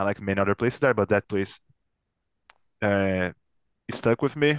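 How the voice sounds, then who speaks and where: A man with a Portuguese accent talks at a moderate pace, using lively intonation and long, frequent pauses. The sound is dry and close with no echo, over a quiet background. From São Paulo, Brazil. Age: 30s. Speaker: metal band guitarist. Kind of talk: casual interview chat. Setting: video call.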